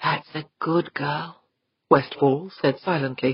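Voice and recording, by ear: Everything around the speaker is quiet. The text is read aloud in a natural voice.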